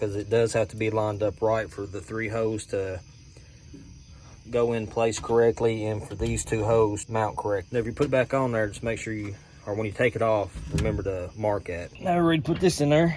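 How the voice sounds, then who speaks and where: The speech comes at a fairly quick pace, somewhat breathy, with ordinary pitch variation. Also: man, fairly low pitch for a man. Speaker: DIY auto mechanic video creator. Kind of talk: tutorial. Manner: casual, conversational.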